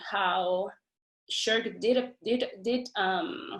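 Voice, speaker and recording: A woman speaks with a non-native accent. Her pitch varies in an ordinary way. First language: not English. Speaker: doctoral student. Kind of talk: academic webinar discussion. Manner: halting, many repetitions and fillers.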